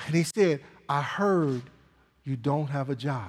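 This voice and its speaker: A man speaks at a fairly slow pace. His tone is animated. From Michigan, US. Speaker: pastor. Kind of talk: sermon. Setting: church.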